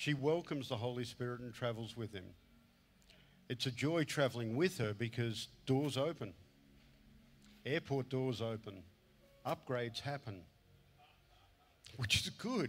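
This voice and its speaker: The man's pitch shows ordinary variation as he keeps a moderate pace. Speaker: conference preacher. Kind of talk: sermon. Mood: warm, heartfelt, gentle. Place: stage. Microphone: handheld.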